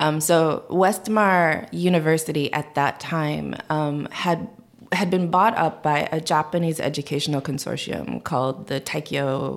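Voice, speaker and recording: A woman's very deep, low pitch with vocal fry, at a moderate pace. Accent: Korean. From US Midwest. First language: Korean. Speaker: policy analyst and adoptee.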